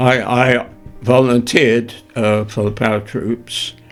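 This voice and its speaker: Music plays in the background while the speaker goes at a very slow pace with fairly even intonation. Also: man. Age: 80s+. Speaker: war veteran; retired journalist. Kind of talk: interview answer.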